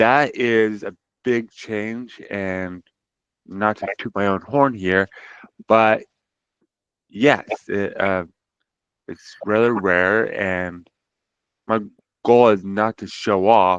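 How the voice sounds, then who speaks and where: Speech comes at a very slow pace with long, frequent pauses and big swings in loudness, in an American accent. The intonation is fairly even, and the sound is dry and close with no echo. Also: man, fairly low pitch for a man. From US West, Utah (Tooele Valley). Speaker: sign language interpreter, brain injury survivor. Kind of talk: interview.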